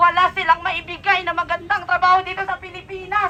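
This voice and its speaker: A woman speaks in an extremely high pitch with a bright, sharp tone. Her voice is raised and projected, and her pace is fairly quick. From Philippines. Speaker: overseas Filipino worker, protester. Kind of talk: protest speech. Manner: impassioned.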